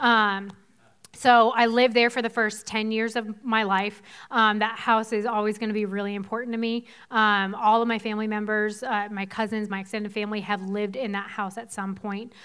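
A woman speaks at a fairly quick pace with an American accent, her fairly high voice flat and monotone on a very clean recording with a silent background. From Boston area, Massachusetts (South Shore). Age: 30s. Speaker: pastor. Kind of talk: sermon. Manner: casual, laughing.

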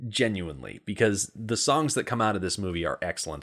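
This man has an American accent. Vocal fry shows in his speech. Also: very clean recording, silent background. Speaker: podcast co-host. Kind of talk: casual chat.

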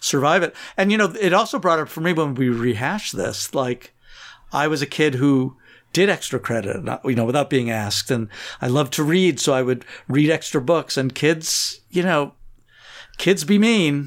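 This man has an unremarkable speaking voice, pitched fairly high. He talks at a moderate pace with lively intonation. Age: 50s. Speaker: host's father. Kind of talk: casual chat. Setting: remote call recording.

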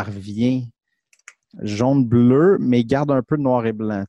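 A man with a Quebec accent speaks at a medium pitch in a dark, mellow tone, with ordinary pitch variation. The sound is dry and close with no echo, over a quiet background. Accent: Québécois French. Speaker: film podcast co-host. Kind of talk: casual chat.

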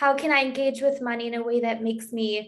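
A woman with an American accent holds a high pitch in monotone, flat intonation. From US and Germany. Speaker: podcast host. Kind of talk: interview.

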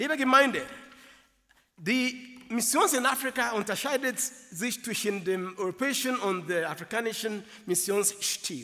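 Raising and projecting his voice, a man speaks at a fairly slow pace with an extremely high pitch and ordinary pitch variation. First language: not German (speaking German). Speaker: preacher. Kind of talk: sermon.

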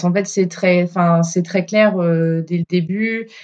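In a plain, everyday voice, a woman talks at a fairly slow pace with fairly even intonation and a fairly low pitch. The sound is dry and close, with no echo. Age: 30s. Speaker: former coaching client, factory technician. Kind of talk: testimony in casual interview.

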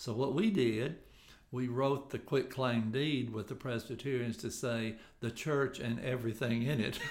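A man with a Tennessee accent talks at a moderate pace and medium pitch, with ordinary pitch variation and audible room echo. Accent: Southern US (Tennessee). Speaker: local historical association president. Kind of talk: podcast interview.

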